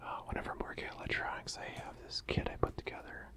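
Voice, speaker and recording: Someone is whispering at a very fast pace. Noticeable background noise can be heard. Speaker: ASMR creator. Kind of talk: softly spoken ASMR talk to camera. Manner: soft-spoken, casual, conversational.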